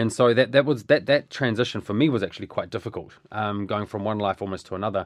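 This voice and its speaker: A man with a New Zealand accent talks at a very fast pace, with hardly any pauses. His fairly low-pitched voice shows ordinary pitch variation against a quiet background. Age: 30s. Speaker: bereaved brother and business owner. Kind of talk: personal interview about grief. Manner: halting, many repeated words and fillers.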